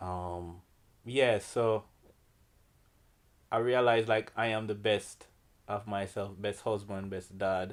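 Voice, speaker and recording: In a very clean recording with a silent background, a man with a Jamaican accent talks very slowly in a fairly low, flat monotone, his tone relaxed and broken by long, frequent pauses. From Jamaica, Kingston. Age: 40s. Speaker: artist and art teacher. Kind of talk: interview. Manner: relaxed, many fillers.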